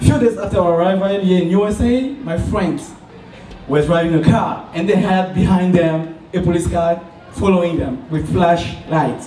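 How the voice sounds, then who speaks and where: A man speaks in a high pitch with a Cameroonian French accent. Audible room echo and noticeable background noise surround him. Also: ordinary pitch variation, moderate pace. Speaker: student entrepreneur. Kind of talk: business pitch. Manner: halting.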